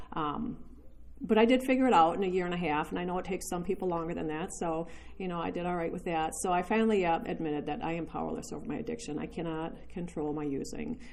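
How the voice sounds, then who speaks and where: Audible room echo and noticeable background noise surround this recording. A woman speaks very fast with lively intonation. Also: fairly low pitch for a woman. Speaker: recovery speaker sharing her story. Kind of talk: testimony. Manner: fast at the beginning.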